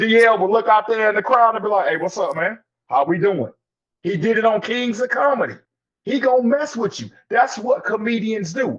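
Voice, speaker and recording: An animated tone with ordinary pitch variation. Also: man, high pitch for a man, moderate pace. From US South, Anniston, Alabama. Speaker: podcast host. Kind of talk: casual panel discussion.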